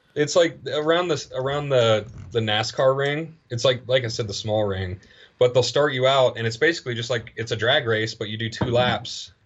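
A man with a medium pitch and a fairly bright tone talks at a moderate pace with ordinary pitch variation.

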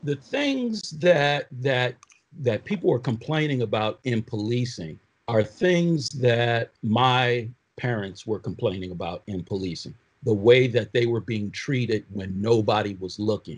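A man with an American accent talks at a fairly slow pace in a medium-pitched, somewhat breathy voice with ordinary pitch variation. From Oakland, California and Michigan. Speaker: prosecutor and former police officer. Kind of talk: panel discussion.

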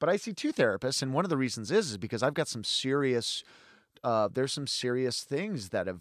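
In a very clean recording with a silent background, a man speaks at medium pitch. His pitch swings very widely. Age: 30s. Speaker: polyamorist and stage magician. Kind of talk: casual chat. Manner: halting, with many repetitions.

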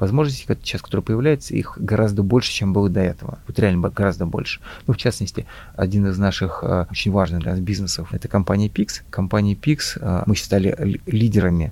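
Fairly quick, somewhat breathy speech from a man, fairly low in pitch with ordinary pitch variation. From Russia, Volga region (Mari El). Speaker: IT entrepreneur, company founder. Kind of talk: interview. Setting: business school campus. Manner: halting, repeats words.

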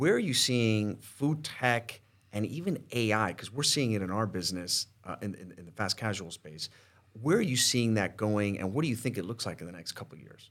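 This man has an ordinary speaking voice at a medium pitch and a moderate pace. His intonation is lively, with big swings in loudness. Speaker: podcast host. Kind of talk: casual chat. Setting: studio.

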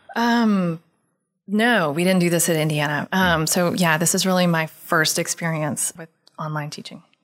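A woman with an American accent talks in a normal speaking voice at a moderate pace. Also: fairly low pitch for a woman, ordinary pitch variation, very clean recording, silent background. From Texas, Houston. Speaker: Russian language professor. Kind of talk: interview. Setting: university recording.

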